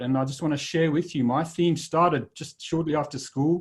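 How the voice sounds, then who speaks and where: This speaker has a South African accent. The pace is fairly quick, with ordinary pitch variation. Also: man. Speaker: leadership speaker, former army officer. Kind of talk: presentation talk. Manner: halting, with fillers.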